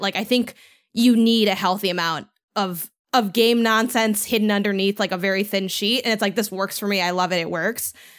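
A woman talks at a fairly quick pace in a normal speaking voice, pitched fairly high with ordinary variation. The recording is very clean, with a silent background. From Chicago, US Midwest. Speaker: game critic and podcaster. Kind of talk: casual chat.

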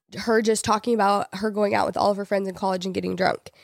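In a dry, close recording with no echo, a woman talks at a very fast pace. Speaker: podcast co-host. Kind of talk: casual chat.

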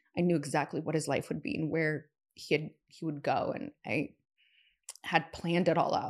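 A woman with a normal speaking voice talks at a moderate pace, with a fairly low pitch and fairly even intonation. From US Pacific Northwest, Seattle. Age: 30s. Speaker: entrepreneur and investor. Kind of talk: casual chat.

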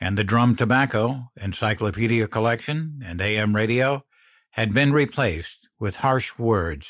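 Over a quiet background, the pitch varies normally in an unforced reading voice.

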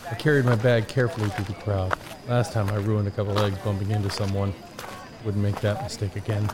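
A man at a very fast pace, fairly low in pitch, with fairly even intonation and noticeable background noise. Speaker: audio drama narrator actor. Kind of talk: scripted first-person audio drama narration.

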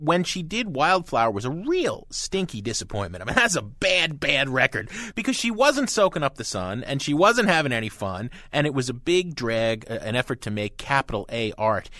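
Over a silent background in a very clean recording, a man with an American accent speaks at a fairly high pitch with a bright, sharp tone, very wide pitch swings and hardly any pauses. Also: moderate pace. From New Jersey (Hoboken). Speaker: pop music critic and radio co-host. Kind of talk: radio talk show interview and album reviews.

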